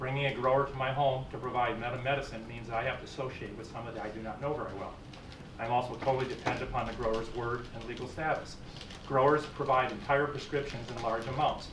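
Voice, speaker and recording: A man speaks very fast at a medium pitch with monotone, flat intonation. Audible room echo and noticeable background noise surround the recording. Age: 60s. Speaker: medical marijuana patient testifying. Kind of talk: public testimony. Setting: legislative committee hearing. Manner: formal.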